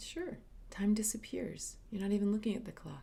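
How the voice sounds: A woman speaks at a moderate pace with a dark, mellow tone, lively intonation and vocal fry. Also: medium pitch for a woman.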